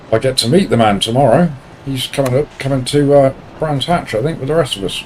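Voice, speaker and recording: The speech runs at a very fast pace in a Portsmouth accent, with ordinary pitch variation. Noticeable noise sits in the background. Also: man, fairly high pitch for a man. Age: 50s. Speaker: sim racing streamer. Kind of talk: live stream commentary while racing. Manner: casual, chatty.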